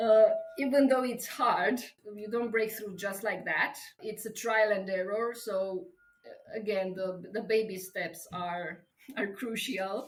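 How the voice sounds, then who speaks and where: Speaking fairly slowly at a fairly high pitch, a woman uses a Romanian accent with ordinary pitch variation. Her loudness swings a lot, and the room echo is audible. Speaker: travel coach and writer. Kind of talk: interview. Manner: halting.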